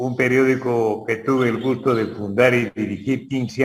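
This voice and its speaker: The man talks at a very slow pace. His medium pitch holds fairly even intonation. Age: 80s+. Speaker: newspaper editor. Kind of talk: interview.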